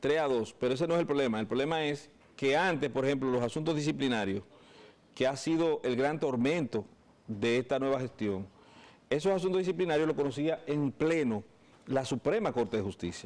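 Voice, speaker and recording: A man with a fairly high pitch speaks at a fairly quick pace in an ordinary speaking voice, his intonation lively. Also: very even loudness. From Dominican Republic. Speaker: lawyer. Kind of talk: interview. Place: studio. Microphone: lapel.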